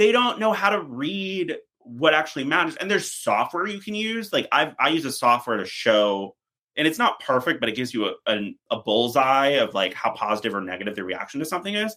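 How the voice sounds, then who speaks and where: This man talks at a fairly quick clip in a fairly high, bright and sharp voice with vocal fry, his pitch swinging very widely. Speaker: PR strategist. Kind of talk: podcast interview. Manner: fast.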